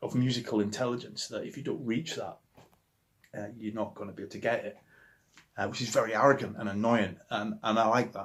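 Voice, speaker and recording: A man with a Yorkshire accent at a very fast pace and medium pitch, with long, frequent pauses and big swings in loudness. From Yorkshire, northern England. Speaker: musician. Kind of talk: interview monologue about favourite records. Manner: animated, with many hesitations and repetitions.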